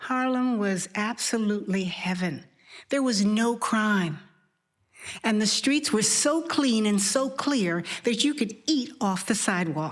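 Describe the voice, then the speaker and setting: Speaking at a fairly slow pace, a woman uses an animated tone and lively intonation, her voice somewhat breathy and her loudness very even. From Harlem, New York. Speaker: storyteller. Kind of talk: personal storytelling on stage. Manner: animated, expressive.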